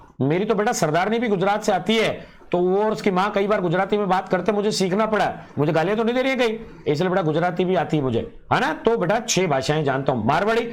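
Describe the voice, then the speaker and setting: A man's high-pitched, animated voice with lively intonation, amid audible room echo and noticeable background noise. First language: Punjabi (speaking Hindi). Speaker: online exam-prep teacher. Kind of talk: live online lecture.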